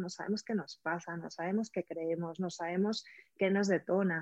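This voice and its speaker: A woman talks at a medium pitch and moderate pace with fairly even intonation, in a dry, close sound with no echo. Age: 40s. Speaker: prenatal and postnatal coach. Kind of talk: interview. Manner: halting.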